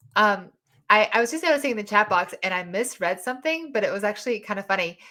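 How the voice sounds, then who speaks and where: A woman with a Southern US accent, her tone bright and sharp, her intonation lively. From US South. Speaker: podcast host and dating mentor. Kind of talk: live audio chat room discussion. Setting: online live audio room.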